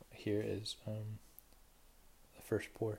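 A fairly low-pitched male voice. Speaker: podcast host. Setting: close mic at home. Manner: slow talker.

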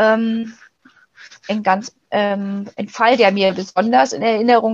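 A woman's somewhat breathy voice holds fairly even intonation. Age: 40s. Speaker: pregnancy crisis counselor. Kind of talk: interview. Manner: hesitant, many fillers.

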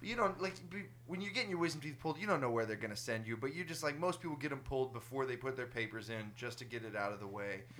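Against noticeable background noise, a man of medium pitch talks at a very fast pace with lively intonation and hardly any pauses. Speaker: podcast host. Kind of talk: casual chat.

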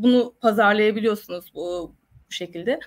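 A fairly high-pitched woman at a moderate pace, with fairly even intonation. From Gülpınar, Ayvacık, Turkey. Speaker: olive oil producer. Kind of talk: online panel discussion.

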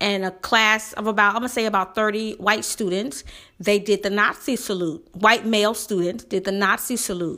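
A woman at medium pitch and moderate pace, fairly even intonation, a bright, sharp tone, very clean recording with a silent background. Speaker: podcast host. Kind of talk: solo commentary podcast. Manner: intense, passionate.

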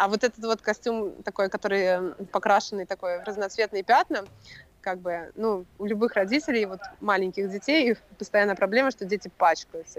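A woman's unremarkable speaking voice, medium in pitch with ordinary pitch variation, in a dry, close sound with no echo. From Russia. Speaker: entrepreneur, former consultant. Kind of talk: casual chat. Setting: video call.

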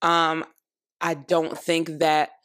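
Speaking with an American accent, a woman has a very deep, low pitch and monotone, flat intonation. The recording is very clean, with a silent background. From Florida. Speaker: solo podcast host. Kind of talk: casual commentary monologue.

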